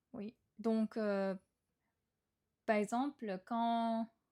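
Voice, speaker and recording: A woman with a Japanese accent, very slow and fairly even in intonation, her tone dark and mellow, in a dry, close sound with no echo. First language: Japanese (speaking French). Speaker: podcast host. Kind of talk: casual monologue podcast. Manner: hesitant, many fillers.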